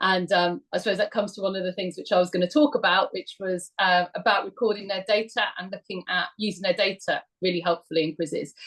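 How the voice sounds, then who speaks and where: A woman with a British accent talks very fast with hardly any pauses. Her pitch is medium, with ordinary variation. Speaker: history teacher. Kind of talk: webinar talk.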